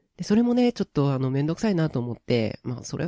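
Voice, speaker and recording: A man's fairly high-pitched voice in a dark, mellow tone with very wide pitch swings, dry and close with no echo. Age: 20s. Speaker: voice actor. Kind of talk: casual solo radio talk. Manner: not very loud.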